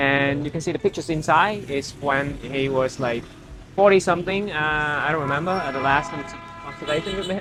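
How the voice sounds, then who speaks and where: Music plays in the background as a speaker with a Vietnamese accent talks at a fairly quick pace. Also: man. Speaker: photography vlogger. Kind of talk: casual vlog narration. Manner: halting.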